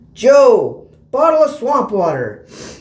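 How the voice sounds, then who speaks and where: A man's put-on character voice, pitched extremely high. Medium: read story. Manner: commanding.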